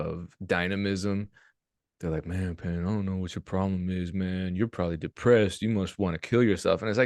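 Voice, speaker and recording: The background is quiet. A man speaks with a very deep, low pitch. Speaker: music producer and YouTuber. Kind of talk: casual interview chat. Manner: monotone; low energy, not animated.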